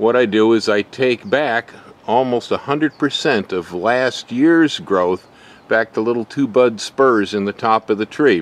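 A man at a fairly slow pace, ordinary pitch variation, dry sound with no echo. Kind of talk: tutorial. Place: garden. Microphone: phone near.

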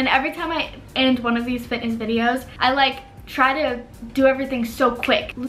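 Over faint background noise, a woman talks at a fairly quick pace in a high pitch, with a fairly bright tone and fairly even intonation.

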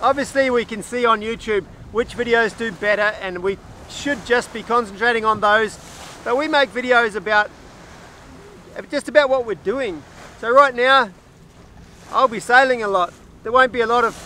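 A man speaks in a raised, projected voice at a moderate pace with fairly even intonation and long, frequent pauses. The sound is dry with no echo, with light background noise. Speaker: solo sailor vlogger. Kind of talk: casual vlog chat. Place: boat. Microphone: phone near.

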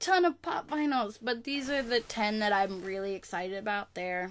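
With hardly any pauses, a woman talks at a fairly quick pace and a fairly high pitch. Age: 20s. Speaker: YouTuber, college student; YouTuber. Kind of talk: casual vlog. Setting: home webcam recording. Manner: animated. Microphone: webcam.

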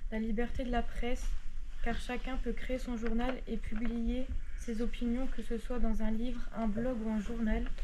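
A woman speaks at a high pitch and a fairly slow pace, her intonation monotone and flat. Noticeable background noise sits behind her. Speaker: presenter. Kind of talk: reading a class presentation. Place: classroom. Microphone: camera far.

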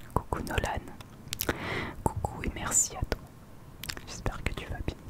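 A woman's breathy whisper at a fairly slow pace, dry with no echo, over loud background noise. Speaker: ASMR creator. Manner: close, breathy whisper into microphone. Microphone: studio mic.

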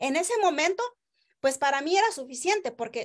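A woman talks at a fairly quick pace in an animated tone with a Mexican accent. Her pitch swings very widely. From Oaxaca, Mexico (rural village). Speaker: network marketing distributor; direct sales promoter. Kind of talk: sales pitch livestream. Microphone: video call.

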